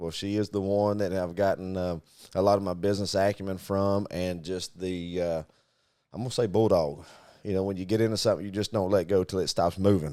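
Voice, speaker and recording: With a Southern US accent, a man of fairly low pitch talks at a fairly quick pace and fairly even intonation in a very clean recording with a silent background. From US Deep South (Arkansas, Mississippi, Louisiana). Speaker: podcast co-host, business owner. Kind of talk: casual chat.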